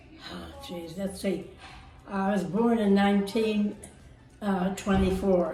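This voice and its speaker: A woman of medium pitch speaks very slowly with monotone, flat intonation, long, frequent pauses and big swings in loudness. Audible room echo and noticeable background noise surround her. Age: 80s+. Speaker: pageant contestant. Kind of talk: interview.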